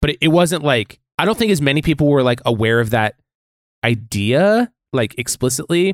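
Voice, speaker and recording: Speaking with an American accent at a moderate pace, a man with a fairly high pitch makes very wide pitch swings while keeping his loudness very even. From US. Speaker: podcast co-host. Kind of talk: casual roundtable chat about faith. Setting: podcast recording with microphones.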